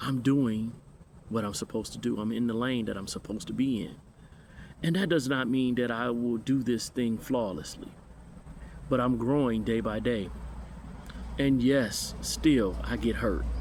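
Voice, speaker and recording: In a room with audible echo, a man speaks with long, frequent pauses. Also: medium pitch for a man, ordinary pitch variation, moderate pace. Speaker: minister. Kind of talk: personal reflection monologue. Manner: halting.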